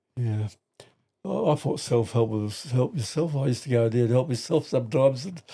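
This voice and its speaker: With a dark, mellow tone and a somewhat breathy quality, a man speaks at medium pitch and a fairly quick pace with ordinary pitch variation. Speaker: grandfather guest on podcast. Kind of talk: casual chat. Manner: halting.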